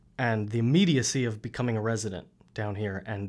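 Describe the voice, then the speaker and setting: A man with a Queens accent talks at a moderate pace with ordinary pitch variation in a very clean recording with a silent background. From New York City, Queens. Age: 20s. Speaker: podcaster. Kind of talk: casual chat. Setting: studio.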